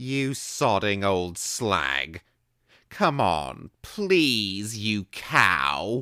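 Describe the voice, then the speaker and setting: A man's put-on character voice, raised and projected, delivered at a very slow pace in a very clean recording with a silent background. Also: fairly low pitch for a man. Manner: wheedling, wailing.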